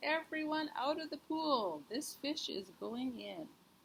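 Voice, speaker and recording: Shouting loudly in a put-on character voice, a woman uses a high pitch and lively intonation. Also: fairly slow pace. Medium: read story. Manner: loud, yelling.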